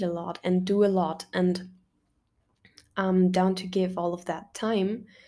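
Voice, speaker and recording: A woman's dark, mellow voice at a medium pitch, with a German accent, very slow pace, and a very clean recording on a silent background. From Germany. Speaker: podcast host and university student. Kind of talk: casual solo monologue. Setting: bedroom at home. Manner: animated; talkative.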